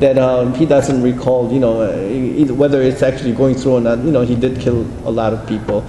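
A man with hardly any pauses, audible room echo and light background noise. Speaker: interpreter. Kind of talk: spoken interpretation. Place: meeting room.

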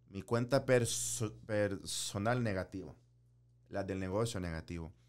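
A man with a fairly low pitch and lively intonation. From El Salvador, moved to US at six. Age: 30s. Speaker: business owner; interview guest. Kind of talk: interview. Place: studio. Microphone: studio mic.

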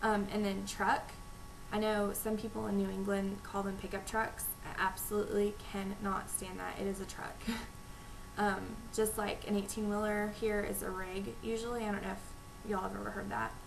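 Noticeable background noise sits behind a woman with a Texan accent. She speaks at a moderate pace with monotone, flat intonation. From Texas. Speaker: vlogger. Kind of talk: casual talk to camera. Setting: home recording, low-volume microphone. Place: home room. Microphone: webcam.

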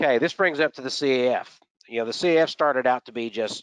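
Recorded dry and close with no echo against a quiet background, a man with a Texan accent speaks with ordinary pitch variation. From Texas. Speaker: aviation historian and aircraft mechanic. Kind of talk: lecture. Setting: video call.

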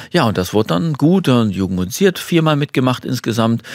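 With very wide pitch swings, a man speaks in a dry sound with no echo. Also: quiet background. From Germany, Detmold (East Westphalia), moved to Swabia at ten; Germany. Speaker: Paralympic champion and horn player, former civil servant; talk show guest. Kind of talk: talk show interview. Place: studio. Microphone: studio mic.

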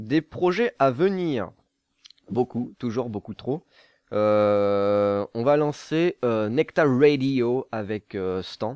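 Lively intonation from a man, dry with no echo, over a quiet background. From southern France. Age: 20s. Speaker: gaming YouTuber. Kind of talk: casual Q&A monologue. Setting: studio. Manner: relaxed, laughing. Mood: playful, joking. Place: home room. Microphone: studio mic.

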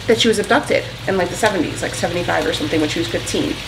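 Noticeable background noise accompanies a woman with a fairly low voice. She talks at a fairly quick pace with lively intonation. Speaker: home vlogger. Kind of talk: casual vlog chat. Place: kitchen. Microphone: camera far.

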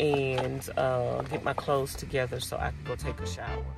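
A woman speaks with clear music in the background. Her voice sounds dry, with no echo. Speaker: van-life vlogger. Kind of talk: casual vlog chat. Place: home room. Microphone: phone near.

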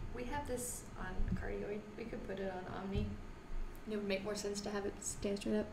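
A woman talks at a moderate pace with fairly even intonation. Noticeable background noise is present. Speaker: music podcast co-host. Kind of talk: casual chat. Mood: jokey, relaxed. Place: studio.

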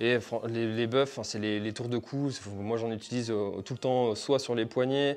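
A man speaks at a medium pitch with fairly even intonation. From France, Brittany (Finistère); Brittany, France. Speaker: trail running YouTuber. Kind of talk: gear review tutorial. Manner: casual, hesitant with fillers. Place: home room. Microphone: phone near.

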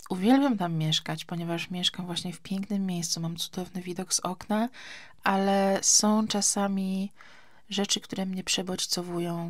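In a very clean recording with a silent background, a woman speaks in a somewhat breathy voice with fairly even intonation. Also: medium pitch for a woman, moderate pace. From Poland, Gdańsk. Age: 30s. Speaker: podcaster. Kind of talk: casual chat. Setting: summer house.

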